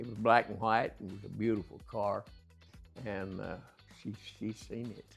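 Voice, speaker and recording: Over music in the background, a man speaks at a fairly low pitch in a monotone, flat intonation, with big swings in loudness and long, frequent pauses. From Texas. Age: 80s+. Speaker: retired construction company owner. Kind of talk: casual interview.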